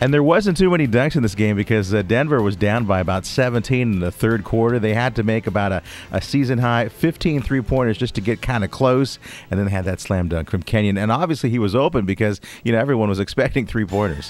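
A man at a medium pitch, very fast pace and lively intonation, with noticeable background noise. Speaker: sports radio host. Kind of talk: sports radio talk show banter.

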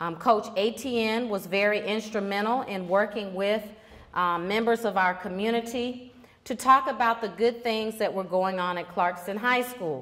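A fairly high-pitched woman at a fairly slow pace, with ordinary pitch variation. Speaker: high school principal. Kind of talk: welcome address. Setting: stage with audience. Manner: formal. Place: hall. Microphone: handheld.

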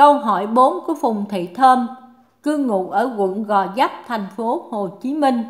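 The woman's pitch sits fairly high. She speaks at a very slow pace. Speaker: reader of listener questions. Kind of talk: reading aloud.

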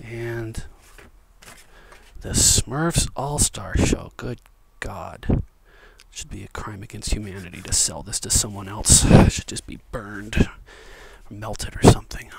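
Over loud background noise, a man speaks at a fairly slow pace with long, frequent pauses. His fairly low voice shows ordinary pitch variation, and the sound is dry with no echo. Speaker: ASMR video creator and book collector. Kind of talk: ASMR whisper role play, casual talk to camera. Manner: whispered, soft-spoken, friendly. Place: home room.

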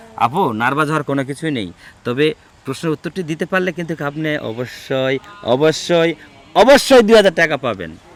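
Dry and close with no echo, an unremarkable speaking voice comes from a man with a fairly high pitch and lively intonation. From Bangladesh, Naogaon. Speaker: street quiz show host. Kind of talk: street quiz interview.

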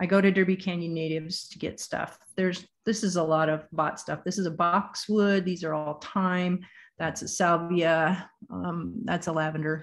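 A woman's fairly low voice in an American accent, monotone and flat, at a moderate pace. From US Pacific Northwest. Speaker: bee gardening presenter; presenter. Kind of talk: lecture with slides. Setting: video call with screen share. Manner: casual, conversational. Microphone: video call.

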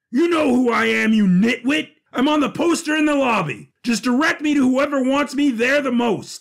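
Putting on a character voice at an extremely high pitch, a man speaks at a moderate pace with hardly any pauses. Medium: audio drama. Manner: pompous, theatrical.

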